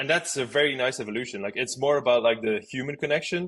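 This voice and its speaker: A man at a very fast pace with a strong Flemish accent. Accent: strong Flemish Dutch. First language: Dutch. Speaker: outbound marketing expert. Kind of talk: podcast interview.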